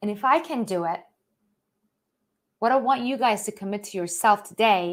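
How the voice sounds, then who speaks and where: Speaking with an Iranian accent, a woman sounds animated, her medium pitch showing ordinary pitch variation. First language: Persian. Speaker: author and financial educator. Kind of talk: live-stream motivational talk. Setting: live online stream.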